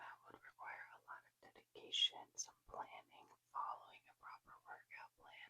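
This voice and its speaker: The speaker is whispering. The pace is moderate. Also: woman. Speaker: ASMR creator. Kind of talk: whispered ASMR ramble about personal goals. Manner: whispered, soft, rambling.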